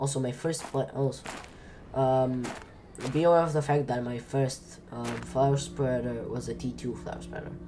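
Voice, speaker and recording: Over music in the background, someone speaks at a moderate pace with a non-native accent. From outside the US. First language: not English. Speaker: gaming streamer. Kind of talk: casual gameplay commentary. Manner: rambling with many fillers.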